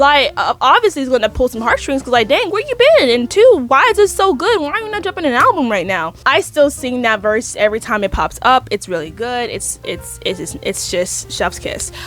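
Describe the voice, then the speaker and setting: Speech comes at a fairly quick pace with hardly any pauses, against noticeable background noise. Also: woman. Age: 20s. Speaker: youtuber, music commentator. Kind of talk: casual commentary vlog. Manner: halting.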